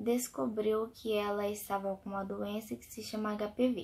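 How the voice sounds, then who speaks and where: Soft-spoken, a woman talks at a fairly slow pace with a fairly high pitch. The recording is very clean, with a silent background. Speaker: vlogger, mother. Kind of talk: personal storytelling vlog. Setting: at home at night. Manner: soft-spoken, speaking quietly.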